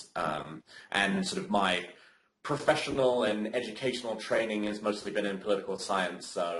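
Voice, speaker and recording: With a British accent, a man speaks at a fairly low pitch and a moderate pace, his pitch varying normally, amid audible room echo and noticeable background noise. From Britain. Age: 20s. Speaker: community co-founder. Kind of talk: interview. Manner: hesitant, many fillers.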